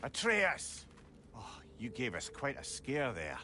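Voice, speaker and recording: A man performs a put-on character voice at medium pitch. Clear background noise can be heard. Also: fairly slow pace. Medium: video game. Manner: jovial, wry.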